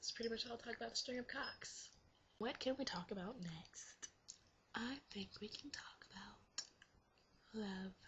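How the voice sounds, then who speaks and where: Fairly slowly, a woman speaks. Her words come out in a whisper. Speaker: vlogger. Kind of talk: casual vlog monologue.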